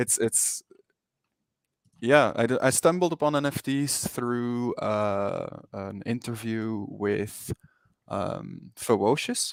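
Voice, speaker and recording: Speaking very slowly with a Flemish accent, a man uses a medium pitch and ordinary pitch variation. The sound is dry and close, with no echo. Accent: Belgian Dutch-speaker. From Belgium. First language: Dutch. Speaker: 3D NFT artist. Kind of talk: interview. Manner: hesitant, many fillers and repetitions.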